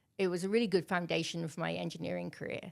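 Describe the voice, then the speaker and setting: A woman's fairly low voice with vocal fry and a British accent, on a very clean recording with a silent background. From Wales, Milford Haven area. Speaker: major projects external relations leader. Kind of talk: interview.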